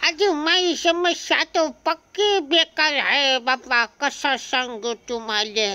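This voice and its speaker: Using a put-on character voice, a woman speaks very slowly in a high pitch, with lively intonation and very even loudness. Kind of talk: comic dubbing. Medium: fan dub. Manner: blunt, colloquial, grumbling.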